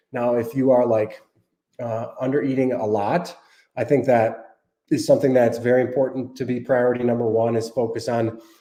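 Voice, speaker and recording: A man with a dark, mellow tone talks at a moderate pace in a monotone, flat intonation. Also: medium pitch for a man. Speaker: dietitian and app cofounder hosting a Q&A. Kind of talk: live stream Q&A. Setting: live stream. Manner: casual, with frequent fillers.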